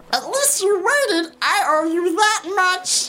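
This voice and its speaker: A woman's squeaky, put-on character voice at an extremely high pitch, with lively intonation. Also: fairly slow pace. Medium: read story. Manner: terse, dry.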